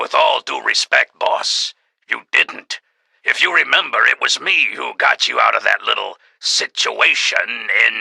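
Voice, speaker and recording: Putting on a character voice, a man talks raspily at an extremely high pitch and a fairly slow pace. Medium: audio drama. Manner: gruff, tough-guy slang.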